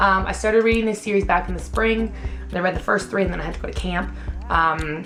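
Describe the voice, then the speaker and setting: Talking at a very fast pace, a woman is heard with audible room echo. Music plays in the background. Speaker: beauty vlogger. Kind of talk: casual chat. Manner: animated.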